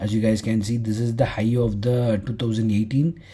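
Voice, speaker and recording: A man speaks with a Tamil accent. His pace is fairly slow and his intonation monotone and flat. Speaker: forex trading teacher. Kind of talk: tutorial. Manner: halting.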